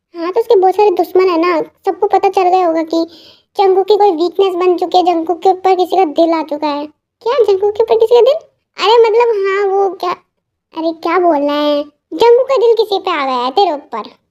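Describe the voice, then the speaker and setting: A woman uses a put-on character voice at an extremely high pitch. She talks at a very fast pace with ordinary pitch variation. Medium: read story. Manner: joking, bantering.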